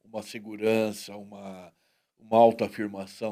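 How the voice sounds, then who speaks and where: A man with a plain, everyday voice talks at a moderate pace in a medium pitch. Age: 60s. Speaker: talk show host. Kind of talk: casual interview chat.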